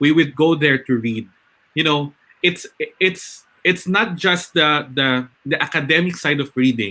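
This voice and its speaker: Speaking at a fairly slow pace with a Filipino accent, a man uses a fairly high pitch, a bright, sharp tone and ordinary pitch variation. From northern Philippines. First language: Ilocano. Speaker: webinar host, educator. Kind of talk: live webinar panel discussion.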